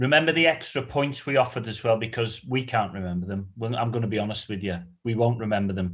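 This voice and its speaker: Over a quiet background, a man with a British accent talks very fast at medium pitch with ordinary pitch variation. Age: 40s. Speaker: quiz host. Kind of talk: live quiz hosting. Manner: animated.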